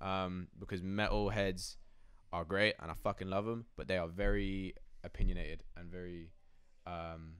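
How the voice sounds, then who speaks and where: A man with a southern English accent speaks at a moderate pace in a very deep, low voice, his intonation flat and monotone while his loudness swings widely. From southern England, Oxfordshire. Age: 20s. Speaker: trap metal rapper. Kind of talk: casual interview. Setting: in person, New York. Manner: casual, filler-heavy.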